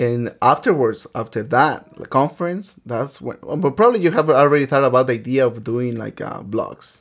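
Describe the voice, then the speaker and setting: In a very clean recording with a silent background, a man with a Spanish accent talks at a moderate pace with hardly any pauses, a medium pitch, ordinary pitch variation and big swings in loudness. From Mexico, Michoacán. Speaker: podcast host, teacher. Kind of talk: casual chat. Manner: halting.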